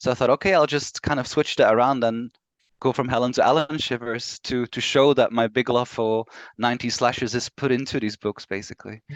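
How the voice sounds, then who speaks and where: In a Belgian accent, a man talks at a fairly quick pace with fairly even intonation, in a dry, close sound with no echo on a very clean recording with a silent background. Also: medium pitch for a man. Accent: Belgian Flemish accent in English. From Belgium (Flemish). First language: Flemish/Dutch. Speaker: author. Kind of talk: interview.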